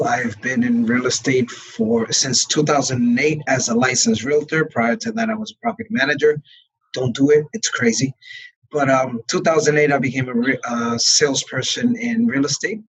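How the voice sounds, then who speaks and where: With a Brooklyn accent, a man talks at a moderate pace. His fairly high voice has lively intonation. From New York, Brooklyn. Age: 40s. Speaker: real estate broker. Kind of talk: interview.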